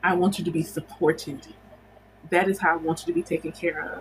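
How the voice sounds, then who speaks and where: With noticeable background noise behind her, a woman talks very fast at a medium pitch and with fairly even intonation. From United States. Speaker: spiritual teacher and livestream host. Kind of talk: casual livestream chat. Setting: livestream.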